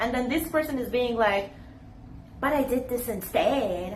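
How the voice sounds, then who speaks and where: A woman speaks at a high pitch with lively intonation. Room echo can be heard. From Iran. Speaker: YouTuber. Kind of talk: casual vlog talk to camera.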